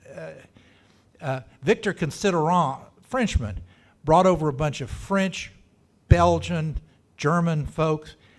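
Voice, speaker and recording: On a very clean recording with a silent background, a man talks with a Texan accent and lively intonation. His pace is very slow, with long, frequent pauses and big swings in loudness. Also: fairly high pitch for a man. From Texas, Dallas. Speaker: local historian speaker. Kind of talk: talk to a club meeting. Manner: casual, halting with restarts.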